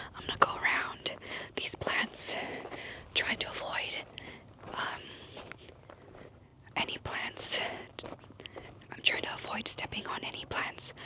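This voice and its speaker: Over noticeable background noise, the whispering moves at a fairly slow pace, broken by long, frequent pauses. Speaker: ASMR creator. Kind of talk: casual talk to camera, outdoor ASMR walk. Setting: outdoors in open desert. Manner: soft-spoken, whispering.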